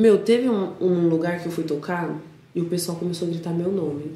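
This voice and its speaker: A woman with a São Paulo accent, fairly low in pitch, at a moderate pace, amid noticeable background noise and audible room echo. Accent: Paulistano Brazilian Portuguese. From São Paulo, Brazil (north zone). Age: 20s. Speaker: DJ. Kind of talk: casual chat.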